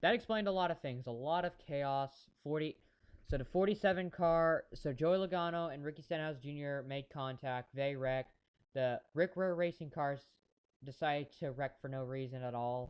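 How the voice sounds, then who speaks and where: This man has a fairly high voice with ordinary pitch variation. He talks at a moderate pace. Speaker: amateur race commentator streamer. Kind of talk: live commentary. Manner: halting.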